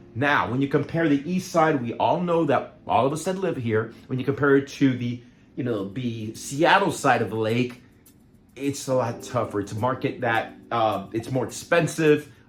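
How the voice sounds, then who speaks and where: Somewhat breathy, a man's medium-pitched voice moves at a moderate pace with ordinary pitch variation. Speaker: real estate agent. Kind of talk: market update video. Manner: casual, halting with fillers.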